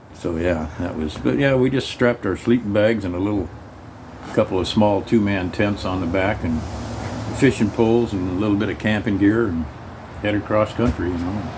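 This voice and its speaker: A man speaks at a fairly quick pace in a fairly low voice. Background noise is noticeable behind him. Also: ordinary pitch variation. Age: 80s+. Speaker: Navy veteran. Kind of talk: casual storytelling conversation.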